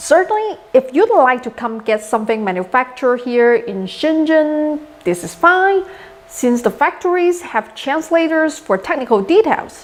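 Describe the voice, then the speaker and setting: Someone with a Chinese accent talks at a moderate pace with very wide pitch swings over noticeable background noise. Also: woman, high pitch for a woman. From China. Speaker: maker YouTuber. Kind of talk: tutorial.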